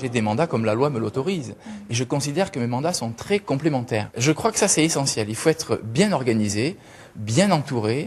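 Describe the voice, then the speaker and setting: The man's voice is somewhat breathy. He speaks fairly quickly, with lively intonation. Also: medium pitch for a man. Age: 30s. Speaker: local politician, candidate. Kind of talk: interview.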